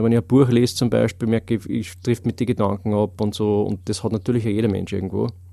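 In a very clean recording with a silent background, a man with a dark, mellow tone and fairly low pitch speaks at a fairly quick pace with fairly even intonation. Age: 30s. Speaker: memory and learning trainer. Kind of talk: casual interview. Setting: studio.

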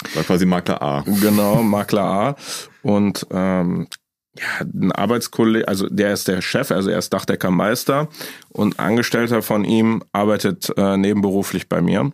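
An ordinary speaking voice moves at a moderate pace with ordinary pitch variation. The sound is dry and close, with no echo. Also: man, fairly low pitch for a man. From Düsseldorf, Germany. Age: 20s. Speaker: insurance broker. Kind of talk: casual chat.

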